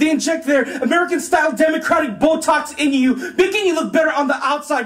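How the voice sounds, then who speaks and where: A man's extremely high-pitched voice at a fairly quick pace, with noticeable background noise. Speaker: spoken word poet. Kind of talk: spoken word poetry performance.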